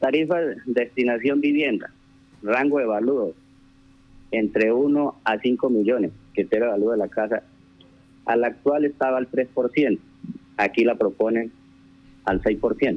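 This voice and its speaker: A man's fairly slow speech with long, frequent pauses, very even loudness and ordinary pitch variation. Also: medium pitch for a man. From Colombia, rural Casanare (Trinidad). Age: 30s. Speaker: town councillor. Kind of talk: radio interview. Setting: phone call. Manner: halting.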